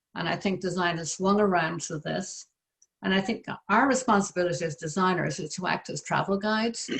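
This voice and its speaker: At a medium pitch and a moderate pace, a woman speaks in a somewhat breathy voice. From west of Ireland. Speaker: interior designer. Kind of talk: panel discussion.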